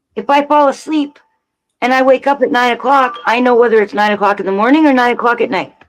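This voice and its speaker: Over music in the background, a woman with a high pitch talks at a very fast pace with ordinary pitch variation. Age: 60s. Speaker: live streamer. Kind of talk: casual chat.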